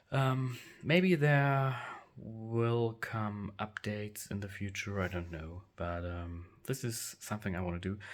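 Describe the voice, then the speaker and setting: In a very clean recording with a silent background, a man with a German accent speaks at a fairly slow pace, his fairly low pitch carrying lively intonation. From Germany. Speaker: action figure collector. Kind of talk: room tour video. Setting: basement. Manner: halting, many fillers.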